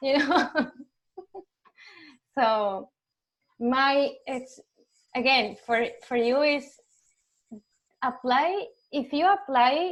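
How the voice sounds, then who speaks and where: Very slow speech in a Spanish accent, with ordinary pitch variation and long, frequent pauses. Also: woman, high pitch for a woman. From Argentina. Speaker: UX designer. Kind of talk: online community talk Q&A. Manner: halting.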